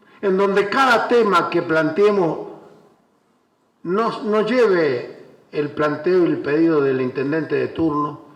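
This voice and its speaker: In a room with audible echo, a man with a high pitch speaks at a very slow pace with lively intonation and long, frequent pauses. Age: 60s. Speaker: former mayor. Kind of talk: panel speech. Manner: halting.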